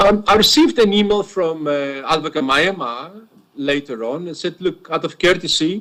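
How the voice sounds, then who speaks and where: The voice has a bright, sharp tone, moving at a moderate pace with ordinary pitch variation. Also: man, high pitch for a man. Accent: Greek. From Greece. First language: Greek. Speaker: witness, former police officer. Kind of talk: cross-examination testimony. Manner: halting, repeats words.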